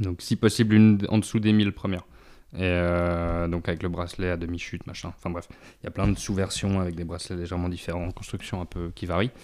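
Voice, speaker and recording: A man with a very deep, low pitch talks at a very fast pace on a very clean recording with a silent background. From Switzerland, Lausanne. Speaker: vintage watch dealer. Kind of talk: casual interview chat.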